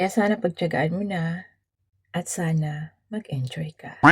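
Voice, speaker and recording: A woman speaks in a somewhat breathy voice with ordinary pitch variation. The sound is dry and close, with no echo. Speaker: vlogger. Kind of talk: birthday greeting message.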